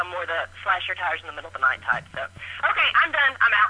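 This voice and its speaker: A woman talks at a very fast pace with lively intonation against noticeable background noise. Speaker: caller. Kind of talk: voicemail. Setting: phone call.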